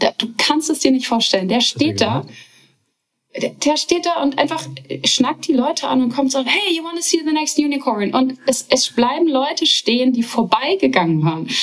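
Lively in intonation, a woman speaks at a high pitch and a moderate pace. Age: 30s. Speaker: startup founder and CEO. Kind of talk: interview.

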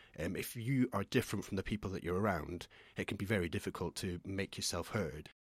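A man with a fairly low pitch speaks at a very fast pace, recorded dry and close with no echo. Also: ordinary pitch variation, very clean recording, silent background. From Scotland, small village. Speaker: poet. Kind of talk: casual chat.

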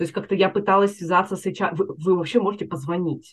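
This woman's medium-pitched, somewhat breathy voice moves at a fairly quick pace. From Russia, Chelyabinsk. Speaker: career coach. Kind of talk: interview.

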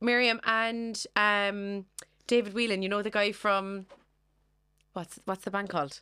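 With an Irish accent and a bright, sharp tone, a woman speaks at medium pitch and a fairly slow pace, keeping her intonation fairly even and leaving long, frequent pauses on a very clean recording with a silent background. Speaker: podcast co-host. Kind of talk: casual chat.

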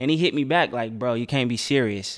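Recorded very cleanly against a silent background, a man with an American accent talks at a fairly quick pace, medium pitch and ordinary pitch variation. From Dayton, Ohio. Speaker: radio DJ. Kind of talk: casual chat.

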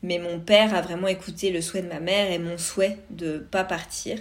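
Monotone, flat delivery from a woman at medium pitch. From France, Vosges (east). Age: 30s. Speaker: podcast host. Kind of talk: personal monologue.

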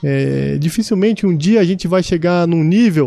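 The man's voice is high in pitch, with a dark, mellow tone. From São Paulo state interior, São José do Rio Preto. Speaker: city councillor and military police captain. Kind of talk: casual interview. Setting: studio.

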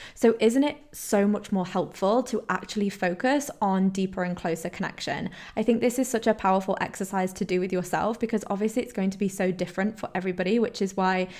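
With a British accent, a woman speaks at a very fast pace and a medium pitch. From Poland and England, mixed upbringing. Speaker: holistic health coach, podcast host. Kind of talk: solo podcast monologue. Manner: animated.

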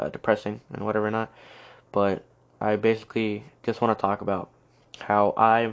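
The tone is clear and smooth, with little pitch movement. The pace is fairly slow. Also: man.

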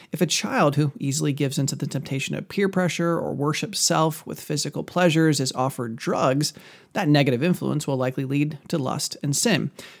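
A man with a fairly high pitch and vocal fry talks at a fairly quick pace with hardly any pauses and ordinary pitch variation, captured in a very clean recording against a silent background. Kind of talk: podcast monologue, teaching. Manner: fast talker.

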